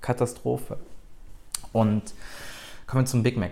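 Speaking at a moderate pace, a man with a medium pitch and ordinary pitch variation has a dark, mellow tone that is somewhat breathy. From Germany, Rhineland (Bonn). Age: 20s. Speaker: cooking YouTuber. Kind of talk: solo podcast monologue. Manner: casual, with fillers and restarts.

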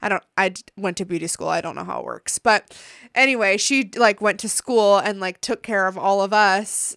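A woman with a normal speaking voice talks at a medium pitch with fairly even intonation, her dry, close sound carrying no echo in a very clean recording over a silent background. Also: moderate pace. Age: 20s. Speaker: podcast host. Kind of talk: casual chat.

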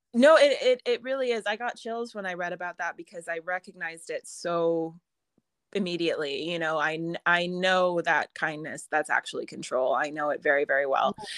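With an American accent, a woman talks at a fairly quick pace with lively intonation in an ordinary speaking voice. The sound is dry and close with no echo. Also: fairly low pitch for a woman. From US. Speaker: author and writing teacher. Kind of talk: casual interview chat.

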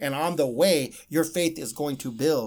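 In a plain, everyday voice, a man with an American accent speaks at a fairly slow pace and fairly high pitch with ordinary pitch variation, on a very clean recording with a silent background. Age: 50s. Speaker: pastor. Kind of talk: testimony. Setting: radio studio.

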